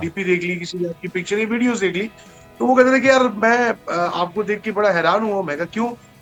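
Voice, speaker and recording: A man's high voice with ordinary pitch variation over music in the background. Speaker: radio jockey. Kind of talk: interview answer.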